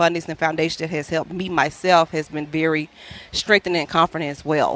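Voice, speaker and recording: A woman with a Louisiana accent, at a fairly low pitch, in a monotone, flat intonation and a fairly quick pace, recorded with a dry, close sound and no echo. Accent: Southern US (Louisiana). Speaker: traveling healthcare worker and cancer patient. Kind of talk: radio telethon interview, personal story. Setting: live radio broadcast at a ballpark. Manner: fast.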